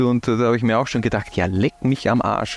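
The sound is dry and close, with no echo, and there is noticeable background noise. The talking moves at a fairly quick pace. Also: man. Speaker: football podcast host. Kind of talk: casual chat.

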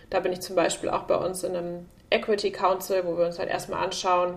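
A woman speaks at a medium pitch with vocal fry. Her pace is fairly quick. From Germany, Münster area. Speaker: tech executive. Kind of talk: interview.

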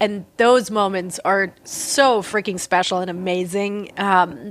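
A woman speaks at a medium pitch with fairly even intonation over noticeable background noise. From southern Germany (near Reutlingen, Swabia). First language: German. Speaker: artist and writer. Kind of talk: interview conversation.

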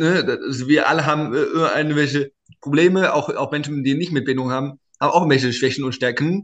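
In an ordinary speaking voice, a man with a fairly high pitch talks at a fairly quick pace with fairly even intonation. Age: 20s. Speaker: startup founder and inclusion advocate. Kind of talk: interview.

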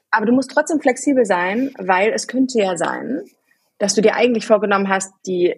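The woman's voice is somewhat breathy and fairly high in pitch. She speaks at a moderate pace with lively intonation. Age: 30s. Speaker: working mother, podcast guest. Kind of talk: casual chat.

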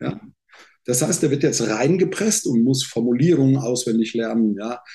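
A man speaks at a moderate pace with a dark, mellow tone and a somewhat breathy quality. His intonation is lively. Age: 60s. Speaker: sales trainer. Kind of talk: casual interview. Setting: video call. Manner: animated.

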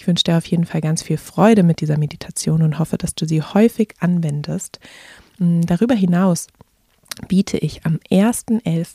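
A woman speaks in an ordinary speaking voice, fairly low in pitch, with fairly even intonation. The sound is dry and close, with no echo. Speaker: podcast host and meditation guide. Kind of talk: guided meditation. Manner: slow, calm, soothing; gentle, soft-spoken, with pauses.

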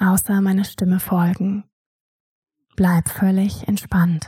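A woman speaks at a very slow pace with a medium pitch and monotone, flat intonation, her tone soothing, dark and mellow, and somewhat breathy. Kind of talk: guided meditation. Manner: slow, soft-spoken, soothing.

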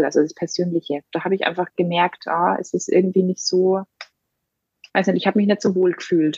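A woman's voice at a medium pitch. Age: 30s. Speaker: mother and photographer. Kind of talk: personal testimony. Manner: hesitant with many fillers.

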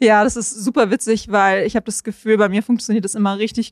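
A woman's ordinary speaking voice, fairly high in pitch, at a fairly quick pace with fairly even intonation, on a very clean recording with a silent background. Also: dry, close sound with no echo. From Munich, Germany. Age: 20s. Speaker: content creator and surfer. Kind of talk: casual interview. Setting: on location by the coast highway.

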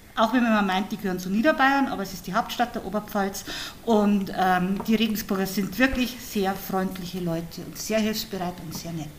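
With noticeable background noise behind her, a woman speaks with big swings in loudness. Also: medium pitch for a woman, ordinary pitch variation, moderate pace. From Upper Palatinate, Bavaria (Hohenfels). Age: 50s. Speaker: author and retired teacher. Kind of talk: casual interview.

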